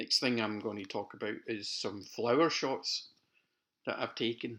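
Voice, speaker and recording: A Scottish accent at a fairly slow pace. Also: man. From Scotland, near Glasgow. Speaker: amateur photographer. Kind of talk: narrated photo slideshow. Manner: casual.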